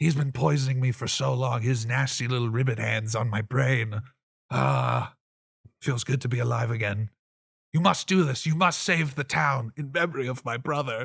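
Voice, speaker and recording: A raspy, put-on character voice at a moderate pace. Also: man, medium pitch for a man. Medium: actual play. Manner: dramatic, put-upon.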